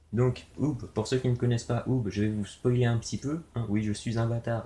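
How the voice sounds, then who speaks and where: A man's somewhat breathy voice has a dark, mellow tone at medium pitch. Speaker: youtuber opening trading card packs. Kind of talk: casual unboxing commentary. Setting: home video recording, someone else filming. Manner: casual, hesitant with fillers. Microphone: low quality video recording.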